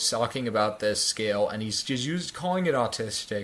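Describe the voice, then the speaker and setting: A man talks at a medium pitch. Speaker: podcast co-host. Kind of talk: casual chat. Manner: fast; halting.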